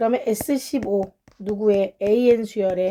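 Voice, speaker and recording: The tone is dark and mellow. Delivery comes at a fairly slow pace. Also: woman. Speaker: math tutor. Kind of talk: lecture.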